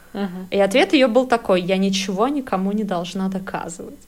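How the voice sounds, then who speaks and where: A woman of medium pitch speaks with ordinary pitch variation, with noticeable background noise behind her. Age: 30s. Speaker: podcast co-host, advertising professional. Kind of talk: casual chat.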